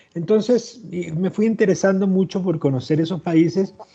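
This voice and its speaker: A man with a Chilean accent, at a moderate pace with ordinary pitch variation. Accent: Chilean, still retained. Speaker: historian and author. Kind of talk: interview. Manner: halting.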